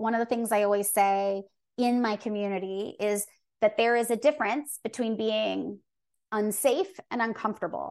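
Over a quiet background, a woman at a fairly high pitch talks at a moderate pace in an ordinary speaking voice. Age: 40s. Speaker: body image coach. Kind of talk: interview.

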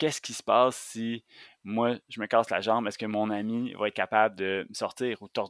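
A man speaks in a medium pitch with monotone, flat intonation. The recording is very clean with a silent background, and the sound is dry and close with no echo. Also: moderate pace, big swings in loudness. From Quebec, Montérégie. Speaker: outdoor guide and instructor. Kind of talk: casual interview chat.

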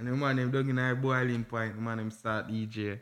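Speaking with a Jamaican accent at a moderate pace and medium pitch, a man is heard in a very clean recording with a silent background. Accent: Jamaican Patois. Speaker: musician. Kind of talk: casual chat.

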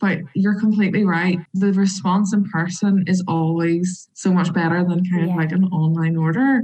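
In a Northern Irish accent, a woman speaks at a moderate pace with hardly any pauses, her dark, mellow, somewhat breathy voice holding very even loudness and fairly even intonation. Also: medium pitch for a woman. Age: 20s. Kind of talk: interview.

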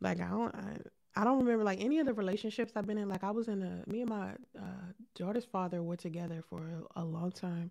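On a very clean recording with a silent background, a woman is soft-spoken with a medium pitch. Her tone is dark and mellow, with ordinary pitch variation. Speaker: podcast host and live streamer. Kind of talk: live stream chat. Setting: live stream.

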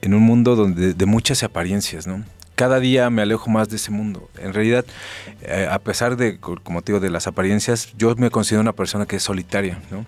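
Speaking at a fairly quick pace, a man with a fairly low pitch uses fairly even intonation in an unremarkable speaking voice. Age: 40s. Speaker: film journalist and TV presenter. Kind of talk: casual interview conversation.

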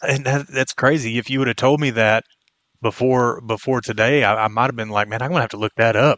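A man with a Texan accent talks at a fairly quick pace and a medium pitch, his intonation fairly even. The sound is dry and close with no echo, over a quiet background. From Texas, Brown County. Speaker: sports podcast co-host. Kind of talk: sports talk show.

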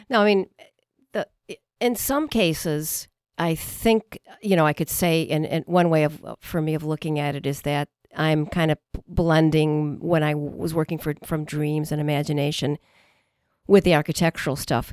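A woman in a Chicago accent with a very deep, low pitch, dry and close with no echo. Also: very clean recording, silent background. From US Midwest. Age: 60s. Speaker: painter. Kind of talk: casual interview. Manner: halting.

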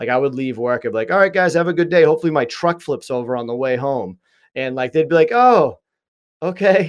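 A man talks at a fairly quick pace with a Boston accent, his pitch fairly high and his intonation lively. The background is quiet. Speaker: mental health advocate and podcast host. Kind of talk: interview, casual chat.

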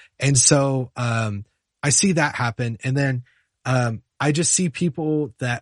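Against a quiet background, a man's somewhat breathy voice with ordinary pitch variation sounds dry and close with no echo. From US South, Charlotte, North Carolina. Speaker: music software teacher and worship musician. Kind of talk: casual interview.

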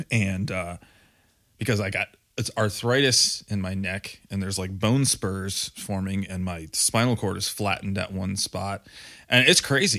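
On a very clean recording with a silent background, a man with a slight Michigan accent speaks fairly slowly in a bright, sharp tone and fairly even intonation. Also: fairly low pitch for a man. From Michigan, Grand Rapids. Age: 30s. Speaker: podcast co-host and metal musician. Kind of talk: casual chat.

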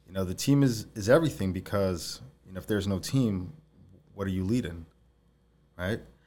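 A man with a New York accent, fairly low in pitch with a dark, mellow tone and lively intonation, at a fairly quick pace broken by long, frequent pauses, in a very clean recording with a silent background. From Long Island, New York. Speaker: entrepreneur, CEO of a junk removal company. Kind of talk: interview. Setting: studio.

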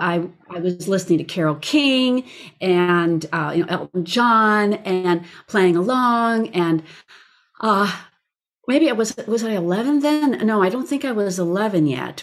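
A woman speaks at a fairly slow pace with a medium pitch and lively intonation, in a normal speaking voice. The recording is very clean, with a silent background. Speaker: voice teacher and recording artist. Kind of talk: casual interview chat.

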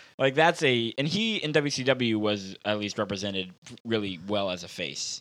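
In a normal speaking voice, a man talks at a moderate pace with lively intonation and a fairly low pitch. The recording is very clean with a silent background. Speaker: podcast co-producer and wrestling fan.

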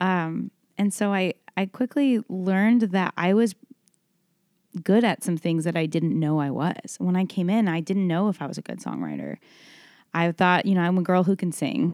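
With an American accent, a woman speaks in a plain, everyday voice at medium pitch, with ordinary pitch variation and a moderate pace. The sound is dry and close, with no echo. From Texas, Dallas. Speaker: singer-songwriter. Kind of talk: interview. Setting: hotel room.

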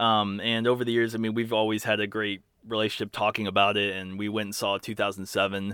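A man's very fast, monotone delivery, flat in intonation and fairly low in pitch. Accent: American. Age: 30s. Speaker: musician. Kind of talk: interview. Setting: video call.

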